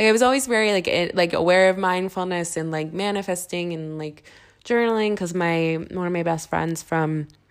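With a Philadelphia accent, a woman talks at a fairly quick pace in a fairly low register. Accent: Philadelphia American. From US Northeast, Philadelphia. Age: 20s. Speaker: podcast host. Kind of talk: casual monologue.

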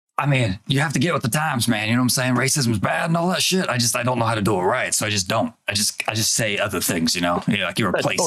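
Putting on a raspy character voice at a medium pitch, a man rattles along at a very fast pace. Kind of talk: comic improv. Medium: actual play. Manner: rambling, casual, fumbling for words.

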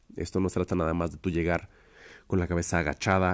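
A man with a very deep, low pitch in a very clean recording with a silent background. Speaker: drummer and music educator podcaster. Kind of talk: solo podcast talk. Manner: casual, conversational with fillers.

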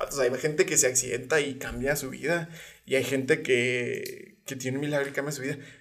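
This man speaks with a Mexican accent at a fairly quick pace. His voice is fairly high, with fairly even intonation. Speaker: podcast co-host. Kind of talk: casual chat.

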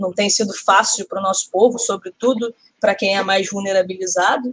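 Recorded dry and close with no echo, a woman speaks in a plain, everyday voice at a moderate pace with fairly even intonation. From Rio de Janeiro, north zone. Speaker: podcast co-host. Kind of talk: casual political discussion.

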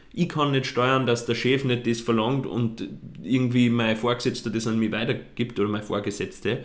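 Moderate pace and fairly even intonation amid audible room echo. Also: man. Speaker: podcast co-host, fashion blogger. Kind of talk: casual chat.

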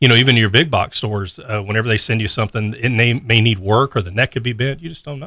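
Someone with an American accent talks at a very fast pace with hardly any pauses, a bright, sharp tone, ordinary pitch variation and big swings in loudness. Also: man, medium pitch for a man. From Texas, Pearland near Houston. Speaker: music store owner. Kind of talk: casual interview. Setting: studio.

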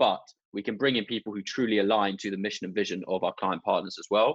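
A man's medium-pitched voice at a fairly quick pace, dry and close with no echo, over a quiet background. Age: 20s. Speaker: podcast host. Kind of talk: casual chat.

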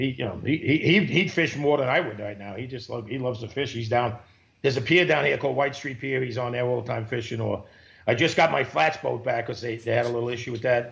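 In a New York accent, a man talks at a very fast pace with a medium pitch. His voice shows vocal fry and ordinary pitch variation. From New York, Queens (Broad Channel). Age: 50s. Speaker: commercial tuna fisherman. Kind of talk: casual interview.

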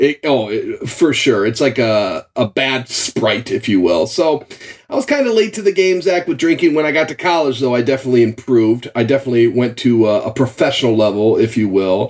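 A man speaks with an American accent at a medium pitch. His is a plain, everyday voice with lively intonation. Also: hardly any pauses.

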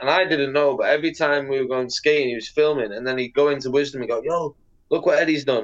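With a Mancunian accent, a man talks at a fairly quick pace in a fairly high pitch. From northern England, Manchester/Bolton. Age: 30s. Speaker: professional skateboarder. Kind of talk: casual chat.

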